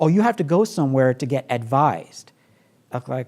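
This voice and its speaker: The man sounds animated. He talks at a moderate pace. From Brooklyn, New York. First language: not English. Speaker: professor. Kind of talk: talk to audience. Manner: conversational, animated.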